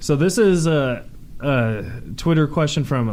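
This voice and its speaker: A man talks at a fairly high pitch with ordinary pitch variation. Audible room echo is present. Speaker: podcast host. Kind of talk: casual chat. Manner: halting.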